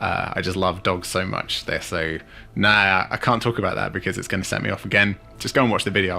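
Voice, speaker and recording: A man with a British accent at a very fast pace, music in the background. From Jersey, Channel Islands. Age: 30s. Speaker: YouTube miniature painter. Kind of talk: casual Q&A monologue.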